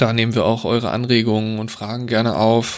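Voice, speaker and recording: A man at a fairly slow pace and medium pitch, on a very clean recording with a silent background. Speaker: podcast host, transport planner. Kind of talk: casual chat.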